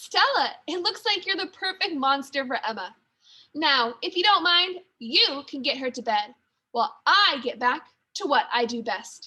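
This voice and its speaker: Putting on a gruff, growling character voice, a woman speaks at a high pitch and a moderate pace. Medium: read story. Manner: gruff, blunt.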